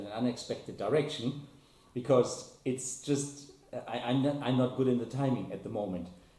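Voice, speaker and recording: Medium-pitched male voice amid noticeable background noise and audible room echo. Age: 60s. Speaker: RC helicopter hobbyist. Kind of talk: casual vlog talk. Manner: halting, many repetitions.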